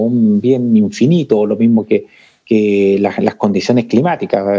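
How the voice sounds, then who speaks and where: This man has a dark, mellow tone and speaks at a fairly slow pace. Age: 40s. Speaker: corporate sustainability coordinator. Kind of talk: interview conversation. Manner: halting, many repetitions.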